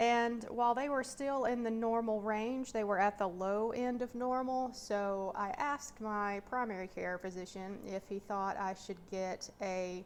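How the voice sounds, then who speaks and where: A woman with an Appalachian accent speaks at a fairly slow pace, her medium pitch held in fairly even intonation. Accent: Appalachian North Carolina. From US South, mountains of North Carolina. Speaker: personal finance vlogger. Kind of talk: casual vlog update. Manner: hesitant, many fillers.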